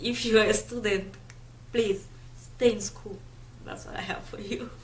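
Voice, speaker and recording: The speaker has a non-native accent. Noticeable background noise runs under the voice. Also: moderate pace. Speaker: YouTuber. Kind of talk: casual chat.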